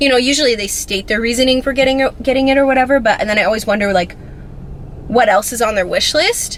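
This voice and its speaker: Over noticeable background noise, a woman talks very fast at a high pitch with ordinary pitch variation. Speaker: beauty and fashion vlogger. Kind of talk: casual chat.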